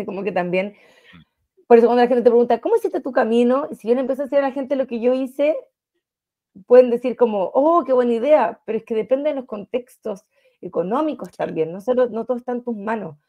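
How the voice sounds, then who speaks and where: In a Chilean accent, a woman speaks at a very fast pace with ordinary pitch variation. Her pitch is high against a quiet background. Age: 30s. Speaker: financial wellness coach. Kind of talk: interview. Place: home room. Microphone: video call.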